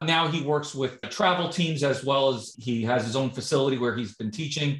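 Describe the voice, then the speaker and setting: A man with a fairly high voice speaks at a moderate pace with ordinary pitch variation. The background is quiet, but audible room echo is present. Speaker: podcast interviewer. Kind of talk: interview host talk. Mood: friendly, enthusiastic. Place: home room. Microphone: video call.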